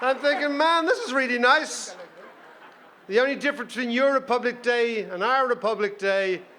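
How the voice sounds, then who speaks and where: Against noticeable background noise, a man with an extremely high pitch and an animated tone raises and projects his voice at a moderate pace with ordinary pitch variation. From Ireland, Dublin. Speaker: panel moderator. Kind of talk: festival panel discussion. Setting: stage with audience. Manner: animated, humorous.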